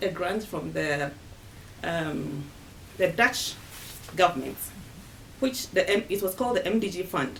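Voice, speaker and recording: Her medium-pitched voice moves at a fairly slow pace, the woman's pitch swinging very widely. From Ghana. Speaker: women's rights fund staff member. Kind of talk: interview answer.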